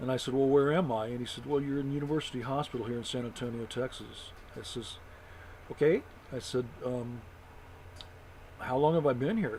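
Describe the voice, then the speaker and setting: Moving at a fairly quick pace, a man at medium pitch keeps a fairly even intonation but takes long, frequent pauses. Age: 60s. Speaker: vlogger, stroke survivor. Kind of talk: personal storytelling monologue. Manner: halting, many fillers.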